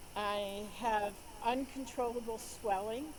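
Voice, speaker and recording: Speaking at a very slow pace with a fairly high pitch, a woman is heard with audible room echo. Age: 70s. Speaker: doctor sharing personal patient story. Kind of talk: interview. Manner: halting.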